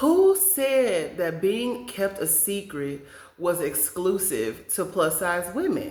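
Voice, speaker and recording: A woman's medium-pitched voice with very wide pitch swings and audible room echo. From Kansas, US Midwest. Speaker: podcast host. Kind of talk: casual monologue. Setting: home studio, on camera. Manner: animated.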